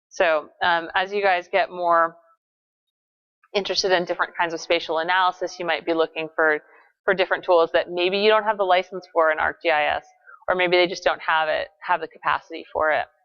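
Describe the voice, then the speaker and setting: A woman speaks at a fairly quick pace in a fairly low pitch. Her intonation is monotone and flat. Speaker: GIS instructor. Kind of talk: lecture. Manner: many filler words (um, uh).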